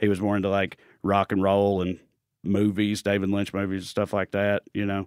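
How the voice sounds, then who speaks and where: A man with a Tennessee accent speaks at a moderate pace with a fairly low pitch and monotone, flat intonation. The sound is dry and close with no echo, on a very clean recording with a silent background. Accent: Southern US, Tennessee. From Clay County, Tennessee. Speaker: comedian. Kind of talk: casual chat.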